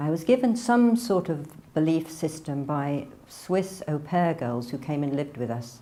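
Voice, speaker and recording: In an English accent, the speaker talks at a fairly slow pace with lively intonation and a dark, mellow tone. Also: woman. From northern England (near Manchester). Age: 60s. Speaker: religious convert. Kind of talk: testimony. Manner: casual, hesitant.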